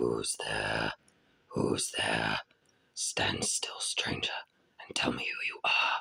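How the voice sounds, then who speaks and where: A growling, raspy put-on character voice at a very slow pace, broken by long, frequent pauses. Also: man, extremely high pitch for a man. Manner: menacing, demanding.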